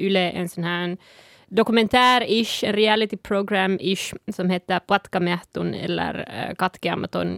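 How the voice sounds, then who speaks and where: A woman's medium pitch with ordinary pitch variation in a Sápmi accent, at a moderate pace, dry and close with no echo, in a very clean recording with a silent background. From Sápmi, northern Finland. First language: Northern Sami (speaking Swedish). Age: 20s. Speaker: activist and podcast panelist. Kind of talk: casual chat. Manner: halting, many fillers.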